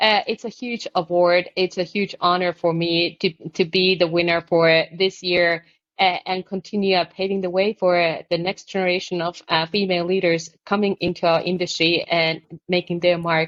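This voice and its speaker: At a moderate pace, a woman with a Finnish accent speaks in a monotone, flat intonation. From Finland. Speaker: architect and construction consultant, award recipient. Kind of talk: podcast interview.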